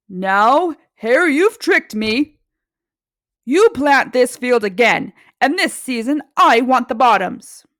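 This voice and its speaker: In a put-on character voice, a woman speaks at a fairly slow pace with a high pitch, on a very clean recording with a silent background. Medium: read story. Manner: slow, grumbling.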